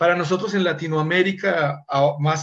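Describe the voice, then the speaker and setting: A man with an ordinary speaking voice, fairly high in pitch, with ordinary pitch variation and a fairly slow pace. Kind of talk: casual chat.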